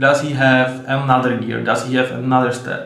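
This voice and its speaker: A man with a Czech accent speaks at a moderate pace. His pitch is fairly high. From Czech Republic. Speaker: sports video host. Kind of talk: solo commentary video. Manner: halting, many fillers.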